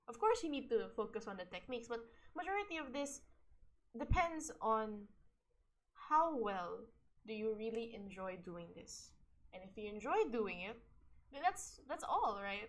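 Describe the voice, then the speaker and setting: A woman speaks at a moderate pace and a fairly high pitch, with very wide pitch swings, big swings in loudness and long, frequent pauses. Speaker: streamer. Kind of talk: casual reflection talk. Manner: halting.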